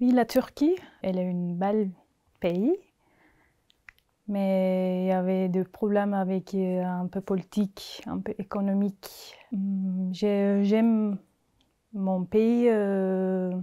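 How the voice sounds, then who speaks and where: On a very clean recording with a silent background, a woman speaks very slowly in a dark, mellow tone. Her delivery is flat and monotone, with long, frequent pauses. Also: medium pitch for a woman. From Turkey. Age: 30s. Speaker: asylum seeker. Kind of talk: testimony.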